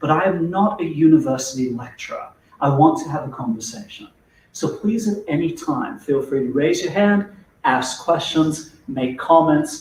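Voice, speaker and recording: With a South African accent, a man speaks at a moderate pace in a fairly high pitch, his intonation lively. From South Africa, Durban. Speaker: neuroscience-based corporate trainer. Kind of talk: business presentation / webinar talk. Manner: conversational, humorous.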